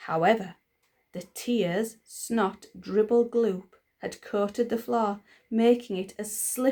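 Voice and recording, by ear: Natural-voiced reading aloud, with little sound behind it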